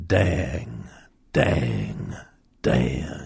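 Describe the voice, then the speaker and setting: Drawling and raspy, a man performs a put-on character voice. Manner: drawling, slow.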